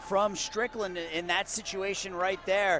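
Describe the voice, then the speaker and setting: A man talks at a high pitch. Noticeable background noise runs behind him. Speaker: color commentator. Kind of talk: live game analysis between plays.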